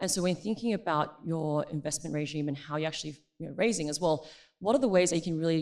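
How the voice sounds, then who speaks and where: A woman with an Australian accent talks very fast in a very deep, low voice, on a very clean recording with a silent background. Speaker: tech company partnerships manager. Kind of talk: conference panel discussion.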